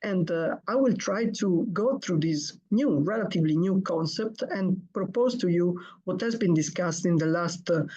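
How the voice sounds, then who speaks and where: Amid audible room echo, a woman speaks at a medium pitch and a moderate pace, with very even loudness and hardly any pauses. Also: ordinary pitch variation. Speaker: hepatology professor. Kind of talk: lecture.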